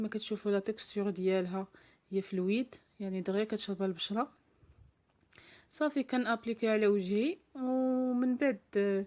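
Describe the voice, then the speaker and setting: Speaking in a Moroccan accent, a woman uses a fairly high pitch. Her pace is moderate, with ordinary pitch variation. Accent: Moroccan Darija. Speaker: lifestyle vlogger. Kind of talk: vlog tutorial. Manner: halting.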